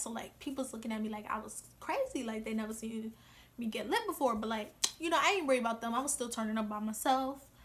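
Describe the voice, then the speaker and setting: A woman talks fairly quickly in a raised, projected voice, her tone animated and her pitch variation ordinary. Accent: American. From New York. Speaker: vlogger. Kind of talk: casual vlog monologue. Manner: fast.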